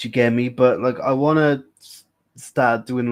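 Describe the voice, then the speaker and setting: On a very clean recording with a silent background, a man with a British accent speaks at medium pitch and a fairly slow pace, his intonation monotone and flat. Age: 20s. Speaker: live streamer. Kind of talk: casual chat.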